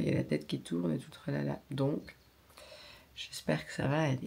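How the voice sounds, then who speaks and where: Her intonation rises and falls in a lively way. The woman keeps a moderate pace. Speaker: beauty vlogger. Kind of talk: vlog. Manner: hesitant, many fillers.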